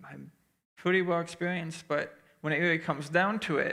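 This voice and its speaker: A man speaks in a bright, sharp tone with flat, monotone intonation. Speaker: youth pastor candidate. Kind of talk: Q&A session. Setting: church with small audience, streamed online. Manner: calm, clear.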